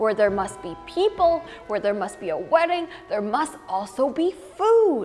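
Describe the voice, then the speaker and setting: In a put-on character voice, a woman speaks high and at a moderate pace with very wide pitch swings. Music is clearly audible behind her. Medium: read story.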